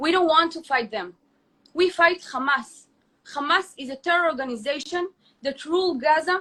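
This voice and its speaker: A woman with an Israeli accent uses a raised, projected voice at an extremely high pitch, with a bright, sharp tone. Her pace is moderate, her pitch variation ordinary, and her loudness swings widely. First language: Hebrew. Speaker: influencer. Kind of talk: heated debate. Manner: halting.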